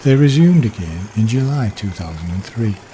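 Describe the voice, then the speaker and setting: A man with a British accent, medium pitch and lively intonation, at a moderate pace, over noticeable background noise. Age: 60s. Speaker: railway enthusiast. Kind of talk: scripted narration. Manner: formal.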